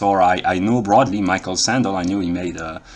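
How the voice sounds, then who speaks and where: This man speaks with a French accent. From France. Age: 30s. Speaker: philosophy vlogger. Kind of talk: monologue lecture. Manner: halting, many fillers.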